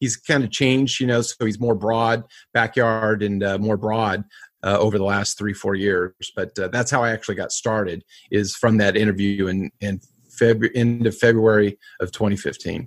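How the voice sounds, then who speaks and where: A man with a fairly low pitch talks at a moderate pace. His intonation is fairly even, and the recording is very clean with a silent background. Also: dry, close sound with no echo. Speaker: barbecue show host. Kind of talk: casual interview chat.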